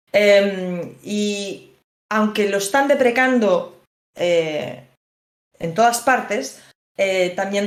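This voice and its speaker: A woman speaks at a medium pitch with ordinary pitch variation, and audible room echo surrounds her voice. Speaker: lawyer. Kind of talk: lecture.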